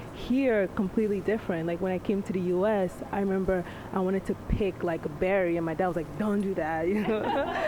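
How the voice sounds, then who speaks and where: With noticeable background noise, a woman of medium pitch talks at a fairly quick pace with hardly any pauses and fairly even intonation. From DR Congo. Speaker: panelist. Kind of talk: panel discussion. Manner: halting.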